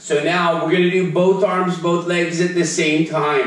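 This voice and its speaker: A man with a high pitch talks at a fairly slow pace, with audible room echo and light background noise. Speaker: fitness instructor. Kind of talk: live online fitness class, cueing exercises and counting reps. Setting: video call. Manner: upbeat, casual and encouraging, with a light playful tone; rhythmic cueing, counting down reps. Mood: playful, joking. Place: home room.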